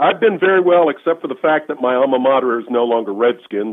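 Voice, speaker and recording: A man with an American accent uses an ordinary speaking voice at a medium pitch, talking at a fairly quick pace with lively intonation. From Washington DC area. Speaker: retired lawyer. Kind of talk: casual interview.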